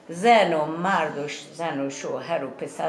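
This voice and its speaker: With noticeable noise behind her, a woman talks in a space with audible room echo. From Iran, Yazd province village. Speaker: villager, Zoroastrian farmer. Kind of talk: interview, reminiscing.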